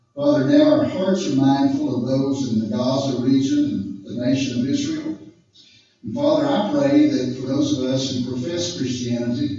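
Strong room echo surrounds a man speaking at a moderate pace. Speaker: guest. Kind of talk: prayer. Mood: solemn, earnest. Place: meeting room.

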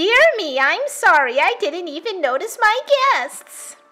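With faint music in the background, a woman uses a put-on character voice at an extremely high pitch, swinging her pitch very widely and speaking fairly slowly. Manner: gentle, apologetic.

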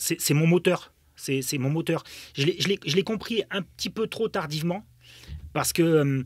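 Over a quiet background, a man with fairly high pitch and ordinary pitch variation talks at a very slow pace with long, frequent pauses, the sound dry with no echo. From Germany. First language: German (speaking French). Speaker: former footballer and football pundit. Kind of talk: interview storytelling. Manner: halting with many fillers. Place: studio. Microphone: studio mic.

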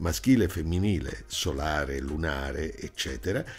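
Over background music, a man speaks fairly slowly with very wide pitch swings. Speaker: broadcaster and documentary narrator. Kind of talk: documentary narration.

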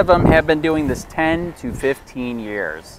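Over noticeable background noise, a man with an American accent speaks very slowly in a dry sound with no echo. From Michigan. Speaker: copwatch activist filming in public. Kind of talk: street interviews with passersby. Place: street. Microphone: phone near.

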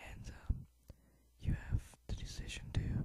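Someone is whispering at a fairly slow pace. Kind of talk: ASMR whisper talk over gameplay. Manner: whispered.

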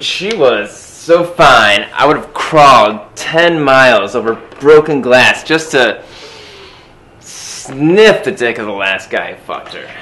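A man speaks at a very slow pace with very wide pitch swings. His loudness swings a lot too. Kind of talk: scripted comedic monologue, interview-style answer. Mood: crude, boastful, amused. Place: home room. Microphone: camera far.

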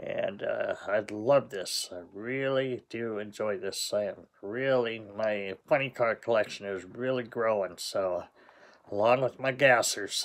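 This man's voice sits at a medium pitch with fairly even intonation. He talks at a fairly slow pace. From Southern California. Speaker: diecast collector YouTuber. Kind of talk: unboxing video, casual monologue. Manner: relaxed, with sighs and fillers. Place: home room. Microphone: phone near.

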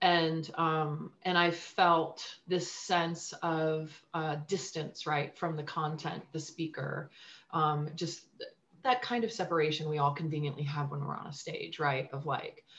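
A woman speaks at a very deep, low pitch with fairly even intonation and a fairly slow pace. Light background noise is present. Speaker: guest. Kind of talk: interview answer. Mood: reflective, personal. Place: home room. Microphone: video call.

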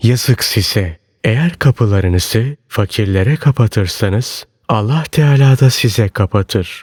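Fairly slow and somewhat breathy, a man speaks at a medium pitch with lively intonation, the sound dry and close with no echo. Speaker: audiobook narrator. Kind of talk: reading aloud of religious sermon text.

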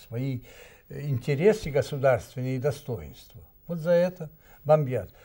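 A man speaks at a very slow pace with a fairly high pitch, ordinary pitch variation and a dark, mellow tone. His voice is somewhat breathy, and the background is quiet. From Serbia. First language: Serbian (speaking Russian). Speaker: ambassador; guest. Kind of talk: studio discussion; interview answer. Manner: halting. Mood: serious, indignant. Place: studio.

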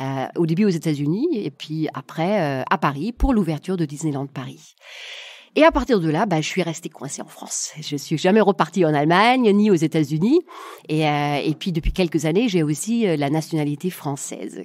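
Lively intonation runs through this woman's very deep, low pitch. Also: moderate pace. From Germany, southwest wine region. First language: German (speaking French). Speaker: coach and negotiation consultant. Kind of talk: interview conversation.

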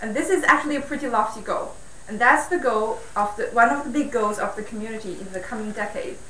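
Talking very fast, a woman swings widely in loudness. Audible room echo and light background noise come through. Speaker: speaker. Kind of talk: lecture. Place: hall.

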